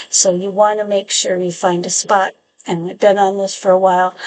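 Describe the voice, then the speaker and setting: Fairly even intonation at a medium pitch from a woman. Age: 60s. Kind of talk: casual talk to camera. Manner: hesitant, chatty.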